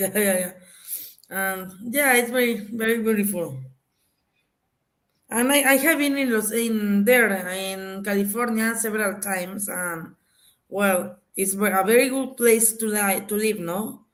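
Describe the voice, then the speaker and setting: A woman speaks at a fairly slow pace in a fairly high voice, with ordinary pitch variation and long, frequent pauses. Audible room echo surrounds her. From Mexico, Mexico City. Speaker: panelist. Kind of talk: casual chat. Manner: halting.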